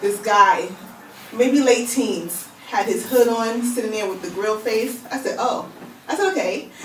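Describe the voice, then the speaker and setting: At a fairly slow pace, a woman with a New York accent speaks in fairly high pitch with ordinary pitch variation, amid noticeable background noise and audible room echo. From Brooklyn, New York. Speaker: magazine founder. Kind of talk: radio interview. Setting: radio studio.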